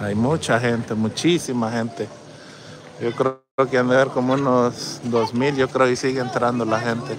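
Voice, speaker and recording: A man talks at a moderate pace with fairly even intonation. The sound is dry with no echo, though noticeable background noise is present. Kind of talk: casual vlog chat. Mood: playful teasing. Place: street. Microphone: phone near.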